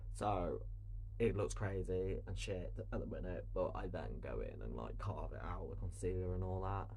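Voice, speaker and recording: Moderate-paced speech in a British accent, with audible room echo and noticeable background noise. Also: man. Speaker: drag queen and makeup creator. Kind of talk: makeup tutorial. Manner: soft-spoken. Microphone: no microphone, hard to hear.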